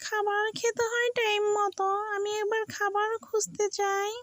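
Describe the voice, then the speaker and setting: A woman does a cartoonish character voice, squeaky and extremely high in pitch. She speaks at a fairly slow pace. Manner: chatty, talks to itself.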